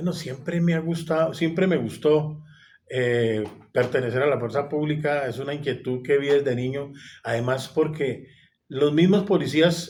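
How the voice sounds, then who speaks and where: In a room with audible echo, a man with a fairly high, somewhat breathy voice speaks at a fairly slow pace with ordinary pitch variation. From Colombia, Bogotá. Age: 60s. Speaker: retired police officer. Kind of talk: interview.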